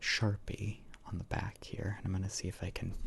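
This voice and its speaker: Soft-spoken and relaxed, a man talks fairly slowly in a dark, mellow, somewhat breathy tone with ordinary pitch variation. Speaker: ASMR creator. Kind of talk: ASMR cleaning session, casual talk to camera. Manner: soft-spoken, relaxed.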